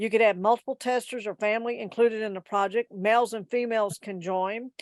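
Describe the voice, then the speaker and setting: Fairly high-pitched woman talking at a very fast pace with fairly even intonation, in a dry, close sound with no echo. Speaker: genealogy society presenter. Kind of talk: presentation.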